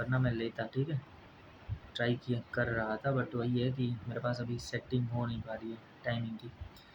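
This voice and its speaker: This is a man speaking at a medium pitch. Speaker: exam coaching YouTuber. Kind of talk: casual tutorial talk to viewers. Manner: halting.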